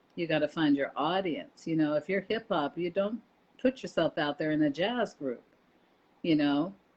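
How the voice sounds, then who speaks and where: Speaking at a moderate pace, a woman uses lively intonation at a fairly low pitch. She has an ordinary speaking voice. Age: 60s. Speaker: radio host and former indie artist consultant. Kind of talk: casual chat. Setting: Facebook live video call.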